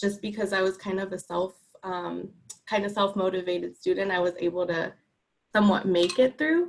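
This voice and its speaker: A medium-pitched woman speaks with fairly even intonation. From South San Francisco, California. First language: not English. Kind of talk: public meeting comment.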